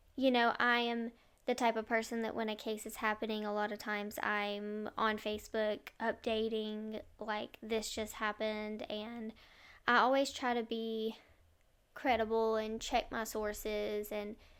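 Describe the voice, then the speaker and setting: Her delivery is fairly slow, with fairly high pitch. This woman's intonation stays monotone and flat. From rural area. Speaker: true crime podcaster. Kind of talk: casual monologue. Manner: hesitant, many fillers.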